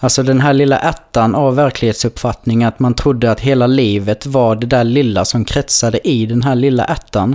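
In a plain, everyday voice at medium pitch, a man talks at a moderate pace with hardly any pauses, fairly even intonation and very even loudness. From Blekinge, southern Sweden. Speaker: podcast co-host. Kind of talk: casual chat.

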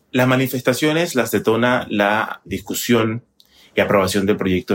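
A man's unremarkable speaking voice, fairly even in intonation, at a moderate pace. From Panama. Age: 30s. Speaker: TV journalist. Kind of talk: interview.

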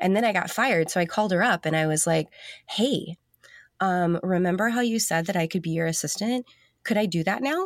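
A woman's medium-pitched voice with ordinary pitch variation and very even loudness, at a fairly quick pace, on a very clean recording with a silent background. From US South. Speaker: designer. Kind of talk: casual interview.

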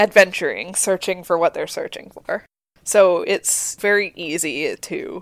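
The plain reading aloud carries ordinary pitch variation over a quiet background.

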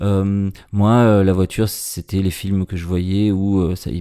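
A man's very deep, low voice, dark and mellow, in a flat monotone at a very slow pace, on a very clean recording with a silent background. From Marseille, southern France. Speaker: singer and poet. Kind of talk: casual interview. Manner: halting, repeating words.

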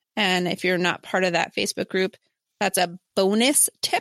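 A woman's bright, sharp voice in a very clean recording with a silent background, the sound dry and close with no echo. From New Jersey. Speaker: podcast co-host, educator. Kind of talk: casual chat.

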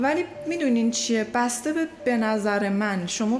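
The pitch swings very widely. Audible room echo and noticeable background noise fill the clip. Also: woman. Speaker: podcast guest. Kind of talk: casual chat.

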